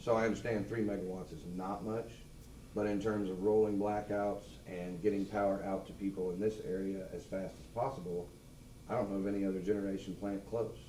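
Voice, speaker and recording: In an American accent, the speaker talks at a fairly quick pace with fairly even intonation, and the room echo is audible. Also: man, fairly low pitch for a man. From Missouri, Lafayette County. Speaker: public commenter at meeting. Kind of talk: public comment. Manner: loud.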